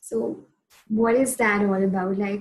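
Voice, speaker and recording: Fairly even intonation carries a somewhat breathy voice. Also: woman. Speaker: podcast host. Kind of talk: interview.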